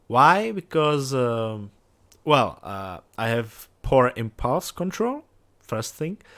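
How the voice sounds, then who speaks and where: A man with a non-native accent speaks at a very slow pace and medium pitch. The recording is very clean, with a silent background. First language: not English. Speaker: gaming youtuber. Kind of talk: let's play commentary. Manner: halting, many fillers.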